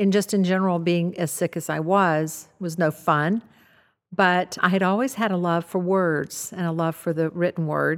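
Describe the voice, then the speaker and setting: The recording is very clean with a silent background. A woman with a normal speaking voice talks at a moderate pace, her fairly low pitch held in fairly even intonation. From US South. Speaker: author, former nurse. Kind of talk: interview. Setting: studio.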